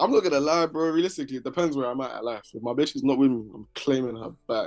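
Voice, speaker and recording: Very fast talk in a London accent with ordinary pitch variation. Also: man. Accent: London English, multicultural London. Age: 20s. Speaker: rapper. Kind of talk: casual chat.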